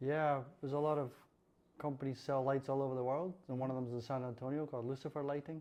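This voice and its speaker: This man has a fairly high pitch, a dark, mellow tone and a Scottish accent. He talks very fast in a monotone, flat delivery. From central Scotland, near Falkirk. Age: 60s. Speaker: lighting designer. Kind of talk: interview. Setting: podcast.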